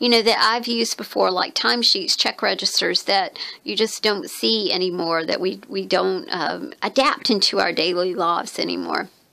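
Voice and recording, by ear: A woman speaks at a moderate pace with few pauses, her medium-pitched voice croaky and full of vocal fry, bright and sharp in tone, with fairly even intonation.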